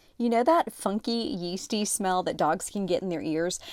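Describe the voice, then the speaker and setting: At a fairly quick pace, a woman talks in a medium pitch with a plain, everyday voice. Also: very clean recording, silent background. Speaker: podcast host and former TV reporter. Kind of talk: host-read sponsor ad.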